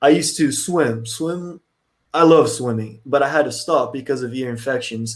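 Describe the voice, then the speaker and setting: A man speaks in a Portuguese accent. His pace is moderate. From Brazil. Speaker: podcaster. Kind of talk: casual interview chat.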